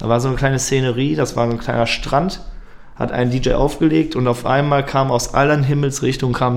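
Amid audible room echo, a man at medium pitch talks at a very fast pace with fairly even intonation. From Germany, Lippstadt (Westphalia). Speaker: techno DJ and party promoter. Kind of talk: casual interview.

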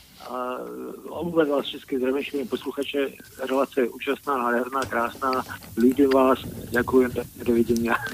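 A man talks at a moderate pace and medium pitch. His intonation stays fairly even, with noticeable background noise. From Bratislava. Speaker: caller. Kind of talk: phone-in call.

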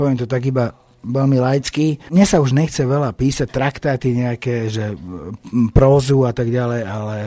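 A man speaks at a fairly slow pace in an unremarkable speaking voice, with medium pitch and ordinary pitch variation. The recording is very clean, with a silent background. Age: 40s. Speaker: rock band singer. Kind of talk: radio interview. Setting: radio studio.

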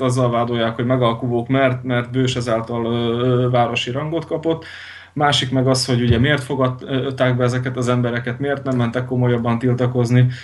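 A man with a medium-pitched voice speaks at a moderate pace in a flat monotone, with audible echo in the room. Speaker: Lutheran pastor. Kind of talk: radio interview. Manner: halting, many repetitions and fillers.

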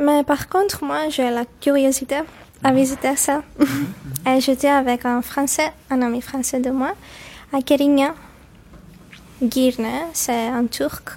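A woman's high-pitched voice, fairly even in intonation, at a very slow pace with long, frequent pauses. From Cyprus, Limassol. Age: 20s. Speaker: university student and French teacher. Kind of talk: interview. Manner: halting.

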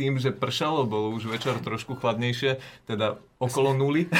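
In a very clean recording with a silent background, a man speaks at a moderate pace and medium pitch, somewhat breathy, with fairly even intonation. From Slovakia, Žilina. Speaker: apprentice farmer. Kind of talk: interview.

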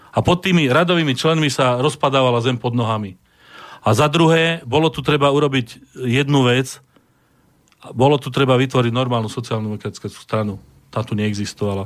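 Using an unremarkable speaking voice, a man talks at a fairly quick pace and medium pitch with ordinary pitch variation. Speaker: historian and museum director. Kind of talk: radio discussion.

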